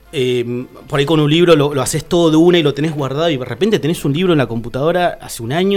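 A man's fairly high voice at a very fast pace, with hardly any pauses, ordinary pitch variation and music in the background. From Argentina, Tierra del Fuego (Río Grande). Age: 30s. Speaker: painter and visual artist. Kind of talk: casual interview chat.

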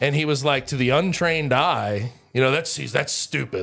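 A man with an American accent speaks fairly quickly with vocal fry and ordinary pitch variation. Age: 20s. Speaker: sports podcast co-host. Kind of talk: casual chat.

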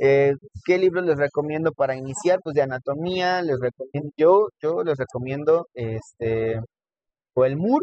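An ordinary speaking voice from a man, fairly high in pitch, with ordinary pitch variation and a fairly slow pace. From Mexico, Texcoco (State of Mexico). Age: 20s. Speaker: cardiovascular nurse and lecturer. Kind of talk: casual interview. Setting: in person recording.

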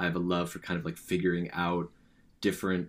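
On a very clean recording with a silent background, a man with a Californian accent speaks in a very deep, low pitch. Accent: Californian American. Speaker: podcast co-host, university student. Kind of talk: casual chat.

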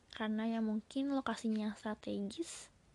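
The pitch of this woman's voice is fairly high, her tone dark and mellow. She keeps a moderate pace with fairly even intonation. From Bandung, West Java, Indonesia. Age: 20s. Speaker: podcaster and university student. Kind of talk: casual solo podcast talk.

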